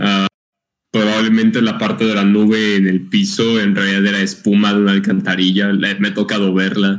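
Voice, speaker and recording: A man speaks fairly quickly in a fairly low pitch. His intonation is monotone and flat, and his loudness stays very even. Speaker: podcast co-host. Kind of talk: casual chat. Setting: live stream.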